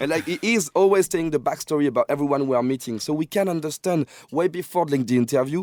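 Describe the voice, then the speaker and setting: A very fast male voice, dark and mellow, with ordinary pitch variation, dry and close with no echo, on a very clean recording with a silent background. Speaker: music industry guest. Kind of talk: podcast interview. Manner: animated.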